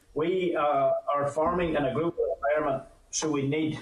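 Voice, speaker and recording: A man with a Northern Irish accent, fairly high in pitch, at a moderate pace with fairly even intonation, amid noticeable background noise. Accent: Northern Irish (Ulster). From Northern Ireland, north coast (County Antrim). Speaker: farmers' union president. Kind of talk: committee evidence session.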